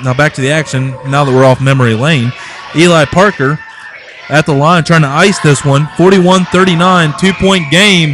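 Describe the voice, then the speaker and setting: A man with a fairly high voice speaks at a moderate pace with ordinary pitch variation over noticeable background noise. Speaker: high school basketball play-by-play announcer. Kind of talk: live sports commentary; casual chat. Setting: broadcast booth at gym.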